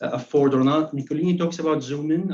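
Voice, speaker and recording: With a non-native accent, a man talks at a very fast pace in a monotone, flat intonation. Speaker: academic presenter. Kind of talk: academic presentation. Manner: halting, with frequent repetitions.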